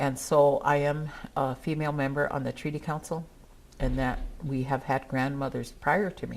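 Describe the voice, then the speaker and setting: A woman with a Northern Plains accent speaks in a very deep, low voice with monotone, flat intonation. Her pace is moderate, and the recording is very clean with a silent background. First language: Dakota. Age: old. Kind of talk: speech at a gathering.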